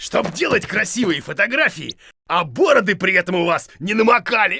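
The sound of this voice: This cartoonish character voice has a bright, sharp tone with a slightly husky edge and vocal fry. The intonation is lively and the pace moderate. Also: man, high pitch for a man.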